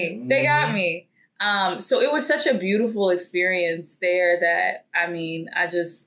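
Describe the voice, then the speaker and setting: A woman's unremarkable speaking voice at a moderate pace. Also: medium pitch for a woman, hardly any pauses. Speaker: podcast guest. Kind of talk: interview answer.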